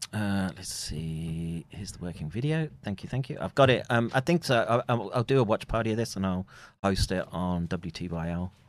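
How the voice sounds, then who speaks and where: Over a quiet background, a man with a British accent speaks at a fairly low pitch with lively intonation. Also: moderate pace. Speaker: streamer. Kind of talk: casual chat. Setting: live stream.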